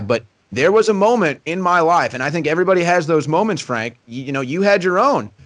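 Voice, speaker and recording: A man with an American accent talks loudly at a very fast pace. His pitch swings very widely. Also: hardly any pauses. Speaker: political broadcaster. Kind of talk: interview.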